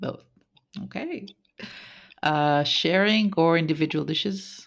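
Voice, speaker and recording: A woman's fairly low-pitched voice, fairly slow, with fairly even intonation. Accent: Israeli. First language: Hebrew. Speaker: podcast host. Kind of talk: interview.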